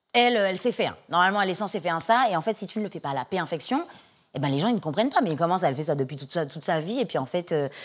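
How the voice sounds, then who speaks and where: A woman talks at a very fast pace in a fairly low voice. The recording is very clean, with a silent background. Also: lively intonation. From Martinique. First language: English (speaking French). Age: young. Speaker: singer-songwriter and actress. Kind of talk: interview. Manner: halting, many fillers and repetitions.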